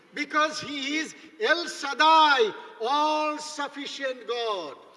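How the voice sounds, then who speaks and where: With a raised, projected voice at an extremely high pitch, a man speaks very slowly with ordinary pitch variation amid audible room echo. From India, East Bengal. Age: 70s. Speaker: bishop, guest preacher. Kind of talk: sermon.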